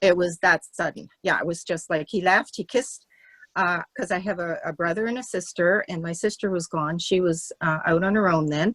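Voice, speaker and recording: A woman with a Canadian Maritime accent, fairly low in pitch with ordinary variation, at a moderate pace, in a dry, close sound with no echo. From Canada, Nova Scotia. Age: 70s. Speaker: class participant. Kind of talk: testimony. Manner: halting.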